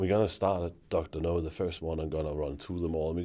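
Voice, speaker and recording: A man's dark, mellow voice with a Danish accent on a very clean recording with a silent background. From Denmark. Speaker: former bank marketing executive. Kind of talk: interview conversation. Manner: hesitant with fillers.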